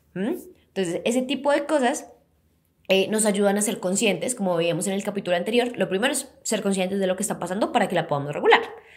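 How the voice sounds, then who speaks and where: With lively intonation and medium pitch, a woman speaks at a very fast pace. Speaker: psychologist podcast host. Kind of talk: educational podcast talk.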